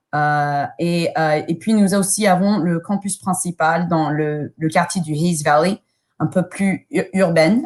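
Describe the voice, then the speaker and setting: On a very clean recording with a silent background, a woman with an English accent speaks at a very slow pace with fairly even intonation. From United States. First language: English (speaking French). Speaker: school admissions officer. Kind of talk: presentation. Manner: halting, many hesitations.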